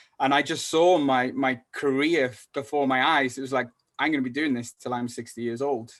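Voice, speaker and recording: In a North Welsh accent, a man speaks at a moderate pace with medium pitch. His intonation is monotone and flat, and the background is quiet. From North Wales. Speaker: salesperson. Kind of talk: podcast interview. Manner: halting.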